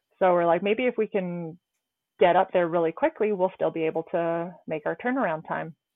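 At a moderate pace, a woman talks in an unremarkable speaking voice, fairly low in pitch, with ordinary pitch variation. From Canada. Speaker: trauma ICU nurse and climber. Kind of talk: interview, personal accident story.

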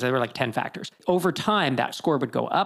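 This man speaks with vocal fry. His pitch varies in an ordinary way. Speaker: podcast host. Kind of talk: casual interview chat.

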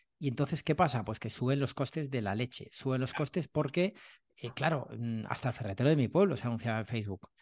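A man at medium pitch and a very fast pace, ordinary pitch variation, a quiet background and a dry, close sound with no echo. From Madrid, Spain. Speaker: sales trainer and author. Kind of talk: casual interview chat.

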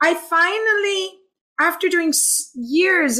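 A woman's lively intonation comes through on a very clean recording with a silent background. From Hong Kong. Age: 40s. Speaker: happiness coach and healer. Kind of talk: casual chat. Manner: animated.

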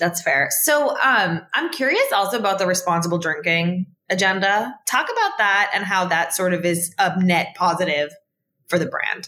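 With a plain, everyday voice, a woman speaks at a medium pitch and moderate pace, her loudness very even and her pitch variation ordinary. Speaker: podcast host. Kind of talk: interview.

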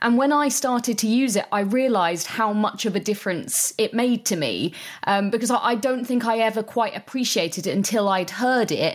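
Speaking in an ordinary speaking voice, a woman shows ordinary pitch variation. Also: very clean recording, silent background. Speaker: audio describer. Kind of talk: interview conversation.

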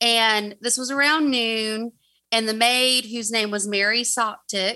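In a Southern US accent, a woman talks fairly slowly in a high voice with a bright, sharp tone against a quiet background. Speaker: guest storyteller. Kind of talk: narrating a true crime story.

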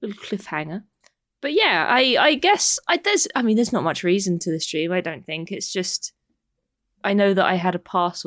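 A woman uses a normal speaking voice at a medium pitch and a moderate pace, with lively intonation. The recording is very clean with a silent background and a dry, close sound with no echo. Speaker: podcast co-host.

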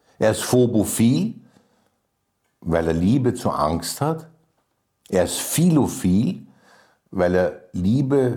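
Very slow, with long, frequent pauses, a man speaks in a dark, mellow tone. His pitch swings very widely. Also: medium pitch for a man. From Vienna, Austria. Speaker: writer and lyricist. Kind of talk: interview. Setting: private kitchen.

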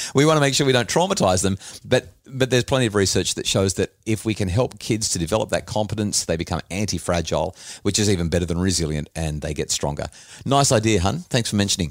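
In an Australian accent, a man talks very fast with lively intonation on a very clean recording with a silent background. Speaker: podcast host and author. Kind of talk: casual chat.

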